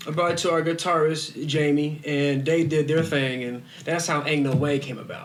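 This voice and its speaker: A man with a fairly high pitch talks at a moderate pace with hardly any pauses, over noticeable background noise and audible room echo. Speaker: musician, band frontman. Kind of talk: casual chat. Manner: animated.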